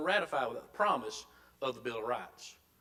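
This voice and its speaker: A man with a South Carolina accent talks over noticeable background noise. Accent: Southern US (South Carolina). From US South. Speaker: Bible school teacher. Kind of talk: lecture. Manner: halting, with frequent repetitions.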